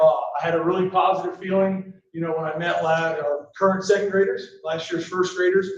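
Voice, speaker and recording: The voice is loud, with monotone, flat intonation. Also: man, high pitch for a man. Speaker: school principal. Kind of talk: board meeting report. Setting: school board meeting, no microphone. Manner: casual, filler-heavy. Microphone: speaking without microphone.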